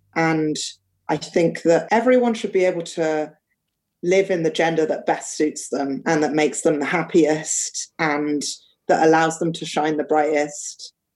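A woman with a London accent, fairly low-pitched for a woman, at a fairly slow pace with ordinary pitch variation. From London, England. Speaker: artist and educator. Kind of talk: casual chat.

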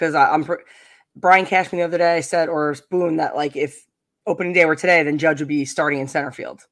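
The speaker talks with a Long Island accent. The recording is very clean, with a silent background. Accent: Long Island New York. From US Northeast, Long Island, New York. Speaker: podcast host guest, baseball fan. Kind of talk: casual chat.

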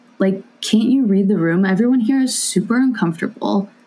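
An unremarkable speaking voice from a woman with an American accent, fairly high in pitch, ordinary in pitch variation, at a moderate pace. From California. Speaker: guest. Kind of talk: casual chat.

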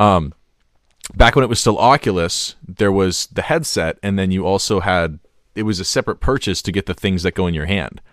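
A man speaks at a fairly quick pace with a very deep, low pitch. The recording is very clean with a silent background and a dry, close sound with no echo. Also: ordinary pitch variation. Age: 20s. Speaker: gaming podcast co-host. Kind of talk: casual chat.

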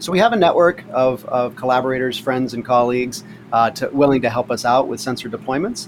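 A man at medium pitch and a fairly quick pace, ordinary pitch variation, with noticeable background noise. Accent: American. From US East Coast, Pittsburgh-born. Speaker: oceanography professor. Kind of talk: interview.

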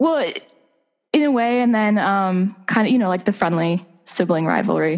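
An unremarkable speaking voice in an American accent, with lively intonation at a moderate pace. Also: woman, medium pitch for a woman. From Pittsburgh, US. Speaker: author. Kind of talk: casual interview chat.

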